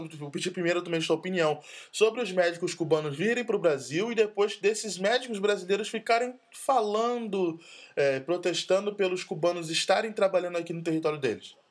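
With ordinary pitch variation, a high-pitched man talks at a moderate pace. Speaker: podcast host. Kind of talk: casual chat.

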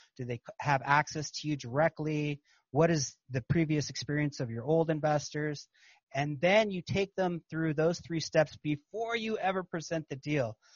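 Here a man speaks with a fairly high, somewhat breathy voice. His pitch varies in an ordinary way, and his pace is moderate. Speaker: podcast host and capital raiser. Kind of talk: casual interview chat.

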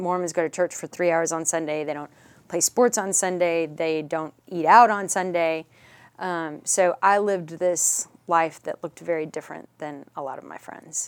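A woman with an American accent speaks at a moderate pace in an ordinary speaking voice. Her fairly low voice shows big swings in loudness. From Dallas, Texas (Richardson). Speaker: author sharing personal story of child loss. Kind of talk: interview, personal testimony.

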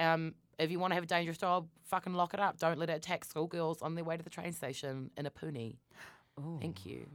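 Speaking at a very fast pace with a New Zealand accent, a woman uses a fairly low pitch and ordinary pitch variation. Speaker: podcast co-host. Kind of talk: casual chat. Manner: loud.

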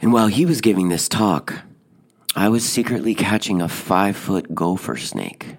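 This man has a plain, everyday voice with fairly low pitch. He talks at a moderate pace with ordinary pitch variation. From Oregon, US. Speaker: podcast host and author. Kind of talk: storytelling monologue.

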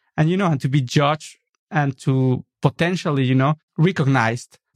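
Against a quiet background, a man with a Mexican accent speaks with ordinary pitch variation. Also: dry, close sound with no echo. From Mexico City, Mexico. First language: Spanish. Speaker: architect and designer. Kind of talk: interview. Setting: studio.

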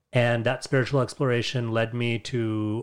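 In a very clean recording with a silent background, a man speaks with a New York accent. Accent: New York American. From US, New York. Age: 40s. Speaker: podcast guest, religious community member. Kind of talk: casual conversation.

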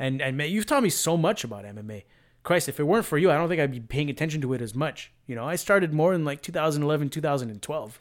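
Talking at a very fast pace, a man with a fairly high pitch uses lively intonation and big swings in loudness. The recording is very clean, with a silent background. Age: 30s. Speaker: MMA podcast host. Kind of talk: casual chat. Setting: at home.

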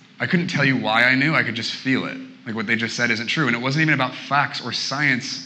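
A man with a West Coast accent talks at a very fast pace and a medium pitch. Noticeable background noise and audible room echo fill the recording. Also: ordinary pitch variation. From Portland, Oregon. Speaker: guest preacher. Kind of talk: sermon.

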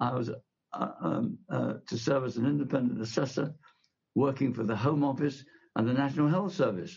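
A man talks at a moderate pace with lively intonation and vocal fry. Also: medium pitch for a man. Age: 90s. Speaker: retired television executive. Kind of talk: interview. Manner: halting.

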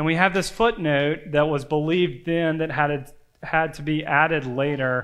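In a room with audible echo, a man speaks at a moderate pace with a fairly high pitch. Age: 30s. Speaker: campus ministry pastor. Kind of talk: sermon. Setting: church.

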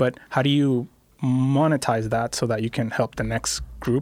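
A man talks in a normal speaking voice at a medium pitch. His pace is fairly slow and his intonation fairly even. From Puerto Rico, Carolina. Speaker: tech startup founder. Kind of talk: casual interview chat. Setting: studio.

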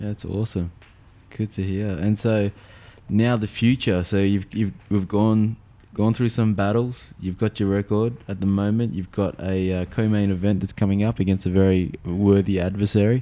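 A dark, mellow tone comes at a moderate pace, the intonation monotone and flat. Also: man, fairly low pitch for a man. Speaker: podcast host. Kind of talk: casual interview.

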